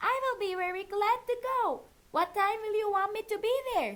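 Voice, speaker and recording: In a put-on character voice of extremely high pitch, a woman speaks at a moderate pace. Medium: read story.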